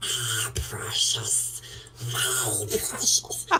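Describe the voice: The speaker uses a put-on character voice. Background noise is clearly heard.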